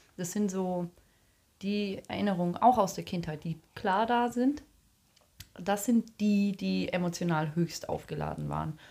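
Speaking with a dark, mellow tone, a woman keeps a medium pitch at a fairly slow pace with long, frequent pauses. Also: ordinary pitch variation. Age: 30s. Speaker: podcast co-host. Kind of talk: casual chat. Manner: talkative.

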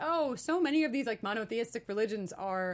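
A woman with an American accent speaks at a very fast pace on a very clean recording with a silent background. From New York. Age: 30s. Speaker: author and LGBTQ advocate. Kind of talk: interview.

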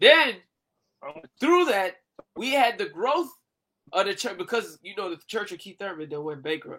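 The tone is animated and the pace moderate. Long, frequent pauses break up the speech. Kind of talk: stand-up style comedic riffing, joking bit. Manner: animated, joking.

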